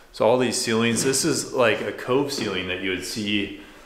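With audible room echo and noticeable background noise, a man talks at a moderate pace in fairly even intonation. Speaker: house tour host. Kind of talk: casual vlog chat. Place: empty room. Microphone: phone near.

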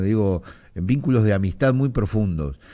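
Lively intonation from a man with a dark, mellow tone, over a quiet background. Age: 50s. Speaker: radio host. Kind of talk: radio interview. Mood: reflective, emotional memory. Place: studio. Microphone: studio mic.

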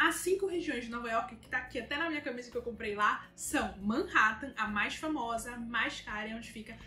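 A woman's high-pitched voice at a fairly quick pace, with hardly any pauses, big swings in loudness, a bright, sharp tone, light background noise and audible room echo. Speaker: travel vlogger. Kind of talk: casual vlog chat. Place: home room.

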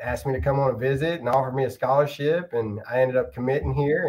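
Over a quiet background, a man speaks in a somewhat breathy voice. His intonation stays fairly even. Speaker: football coach guest. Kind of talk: interview answer. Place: office.

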